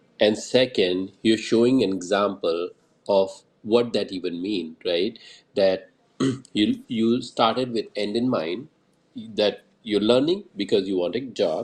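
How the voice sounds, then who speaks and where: A man with a strong Indian accent, very slow, with long, frequent pauses. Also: quiet background. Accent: thick Indian. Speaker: Twitter Space host. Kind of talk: casual panel discussion. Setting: online audio space.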